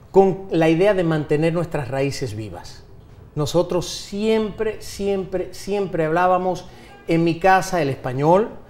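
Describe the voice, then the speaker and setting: Through noticeable background noise, a man with a high pitch and ordinary pitch variation talks at a very slow pace. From United States (Miami), Dominican family. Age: 40s. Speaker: politician, dictator's grandson. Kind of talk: TV interview. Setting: TV studio.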